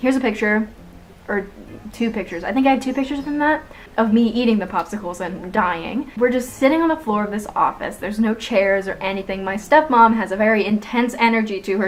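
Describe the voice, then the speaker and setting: Amid noticeable background noise, a woman with a fairly high pitch talks at a fairly quick pace with ordinary pitch variation. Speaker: vlogger. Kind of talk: storytime monologue. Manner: animated.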